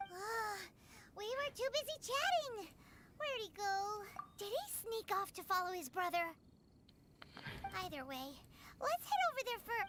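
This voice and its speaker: An extremely high put-on character voice with long, frequent pauses over clear background noise. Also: moderate pace. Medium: video game. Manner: lively, chatty.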